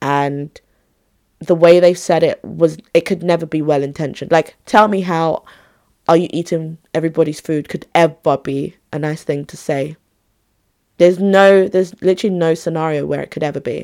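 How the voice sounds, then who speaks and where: Her voice fairly low and her tone dark and mellow, a woman speaks at a moderate pace with big swings in loudness. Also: fairly even intonation. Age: 20s. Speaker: podcast host.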